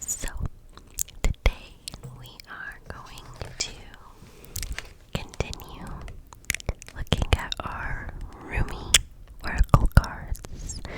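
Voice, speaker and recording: A woman whispers at a very slow pace with long, frequent pauses and big swings in loudness over noticeable background noise. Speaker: ASMR artist. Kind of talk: casual talk to camera. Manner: whispered.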